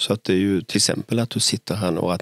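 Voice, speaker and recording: Fairly quick speech in a dry, close sound with no echo. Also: man, very clean recording, silent background. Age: 60s. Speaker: city architect and podcast host. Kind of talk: casual chat. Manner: halting, repeats words.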